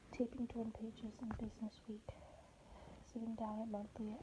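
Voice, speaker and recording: Amid noticeable background noise, a woman speaks fairly quickly at a fairly high pitch in a monotone, flat intonation. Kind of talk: book excerpt reading.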